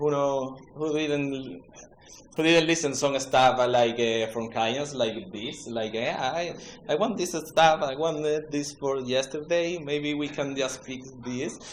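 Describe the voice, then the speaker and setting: A man with an Andalusian accent speaks at a very slow pace, his fairly high pitch showing ordinary pitch variation. There is noticeable background noise and audible room echo. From Spain, Andalusia (Seville). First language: Spanish. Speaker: web developer, conference speaker. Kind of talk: conference talk. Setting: stage with audience. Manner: halting, many fillers.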